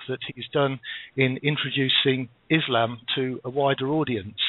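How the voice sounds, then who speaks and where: A man with a British accent and ordinary pitch variation. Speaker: radio host. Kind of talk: radio talk show. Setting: studio. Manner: halting.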